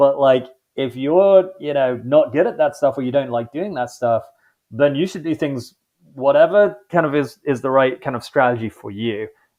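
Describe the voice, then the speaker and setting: A man with an English accent, a fairly high pitch, ordinary pitch variation and a moderate pace. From London, England. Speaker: podcast host. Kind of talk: interview conversation. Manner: casual, filler-heavy.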